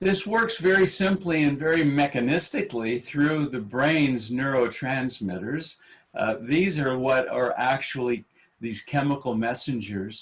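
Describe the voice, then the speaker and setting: A man with a fairly high pitch and lively intonation talks at a fairly slow pace in an ordinary speaking voice. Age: 60s. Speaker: meditation teacher. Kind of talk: panel talk. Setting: webinar.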